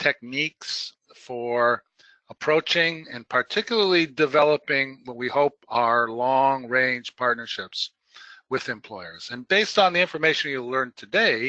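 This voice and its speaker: The man's voice sits at medium pitch with a bright, sharp tone and a dry, close sound with no echo. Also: lively intonation. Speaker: webinar presenter, employment services trainer. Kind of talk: webinar presentation. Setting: webinar. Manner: halting, many fillers.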